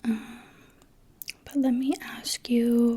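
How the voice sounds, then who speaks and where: A soft-spoken woman's fairly high voice, gentle in tone, with monotone, flat intonation. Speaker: ASMR artist. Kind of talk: ASMR roleplay face exam, personal attention. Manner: soft-spoken, gentle, calming.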